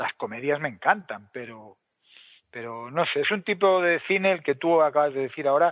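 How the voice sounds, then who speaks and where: A man at a moderate pace. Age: 50s. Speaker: podcast co-host. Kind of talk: casual chat. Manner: animated.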